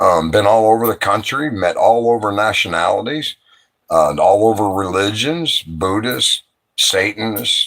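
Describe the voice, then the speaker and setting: At a moderate pace, a man talks at fairly low pitch with ordinary pitch variation. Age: 60s. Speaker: livestreamer. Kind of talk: late-night livestream chat. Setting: live stream at night. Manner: animated, rambling and profane.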